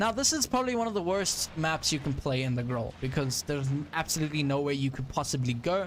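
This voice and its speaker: Talking at a very fast pace with hardly any pauses, a man with a South African accent and a fairly high pitch keeps his loudness very even and his intonation lively. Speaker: gaming streamer. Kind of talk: live gameplay commentary. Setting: live stream. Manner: animated.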